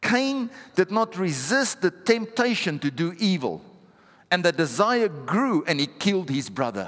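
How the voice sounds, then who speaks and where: A man with a high voice talks at a fairly slow pace, his pitch swinging very widely. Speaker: pastor. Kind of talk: sermon. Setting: church with live congregation. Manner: rhetorical, punchy, driving short challenges and exhortations.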